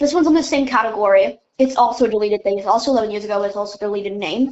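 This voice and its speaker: A woman with a fairly high pitch speaks at a very fast pace, her pitch varying in an ordinary way. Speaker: podcast co-host. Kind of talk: reading aloud.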